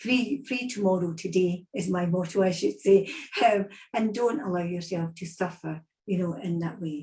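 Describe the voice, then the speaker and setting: Somewhat breathy and dark, mellow in tone, this voice moves at a moderate pace with ordinary pitch variation and a Scottish accent. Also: woman, medium pitch for a woman. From Scotland. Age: 60s. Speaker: psychic medium. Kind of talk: online event talk.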